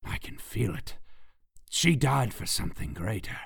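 A man puts on a raspy character voice. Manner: muttering, growing madness.

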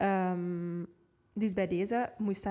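Recorded very cleanly against a silent background, a woman speaks at medium pitch in a dark, mellow tone. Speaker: podcast co-host. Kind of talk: casual chat.

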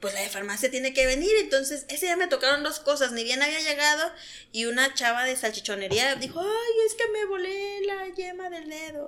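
This woman speaks in a raised, projected voice with a bright, sharp tone. Her pitch swings very widely. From Oaxaca, Mexico. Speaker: pharmacy worker and podcast guest. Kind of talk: casual chat.

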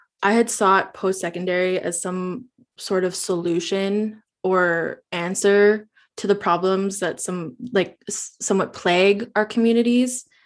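A woman uses an ordinary speaking voice at medium pitch and a fairly slow pace. Her intonation is fairly even, and the background is quiet. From Northwest Territories, Canada. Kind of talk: interview.

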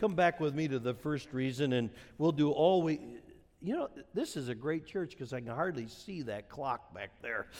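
With an American accent, a man talks at a moderate pace in a plain, everyday voice, his fairly high pitch carried by lively intonation. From Wisconsin, US Midwest. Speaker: pastor. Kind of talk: sermon. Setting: church.

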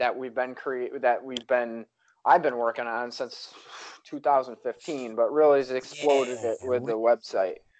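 Against a quiet background, a man talks in a normal speaking voice at a medium pitch. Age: 30s. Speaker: podcast host. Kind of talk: casual chat.

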